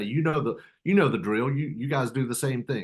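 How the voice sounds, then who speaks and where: At a medium pitch, a man speaks in an unremarkable speaking voice. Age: 60s. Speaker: real estate investor. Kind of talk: casual interview.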